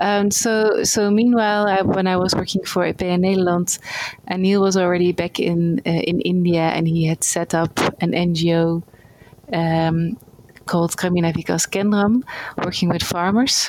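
Against noticeable background noise, a woman with a Dutch accent speaks fairly slowly at a fairly low pitch, her intonation fairly even and her loudness very even. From Netherlands. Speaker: NGO worker in rural development. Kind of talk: interview.

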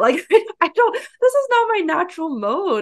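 This woman talks with a West Coast accent and lively intonation. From San Francisco Bay Area, US. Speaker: online entrepreneur and coach. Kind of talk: interview.

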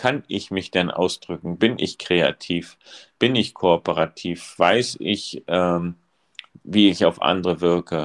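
A man with a very deep, low voice speaks at a very slow pace with ordinary pitch variation, the sound dry and close with no echo. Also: very clean recording, silent background. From East Germany. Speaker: school principal. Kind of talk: casual chat.

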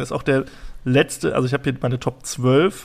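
Fairly quick and medium in pitch, the man has an unremarkable speaking voice. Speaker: podcast host. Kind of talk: casual chat.

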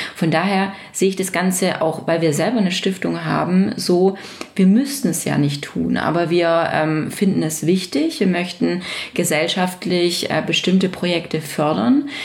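Fairly slow speech from a woman, amid audible room echo and noticeable background noise. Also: fairly low pitch for a woman, ordinary pitch variation. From Baden-Württemberg, near Stuttgart. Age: 30s. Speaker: business owner and association chair. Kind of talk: interview.

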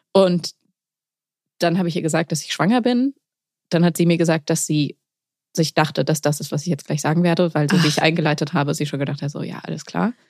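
Talking at a very fast pace, a woman leaves long, frequent pauses in a very deep, low voice. Her pitch varies normally, and the sound is dry and close with no echo. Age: 30s. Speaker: poetry slammer and young mother. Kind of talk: casual chat.

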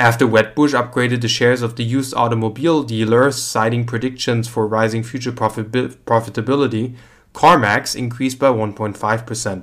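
A man with an unremarkable speaking voice talks at a moderate pace and medium pitch, with fairly even intonation and hardly any pauses. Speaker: market news presenter. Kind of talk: scripted financial news reading, formal newsreader delivery of market figures and quotes. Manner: formal, even-paced and matter-of-fact; measured, neutral, steady reading of numbers.

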